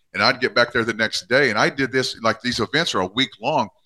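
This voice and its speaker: A man with an American accent speaks at a fairly quick pace and a medium pitch. His tone is bright and sharp, and the sound is dry and close with no echo. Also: quiet background. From US Midwest, southwest Missouri. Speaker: chiropractor. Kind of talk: interview storytelling.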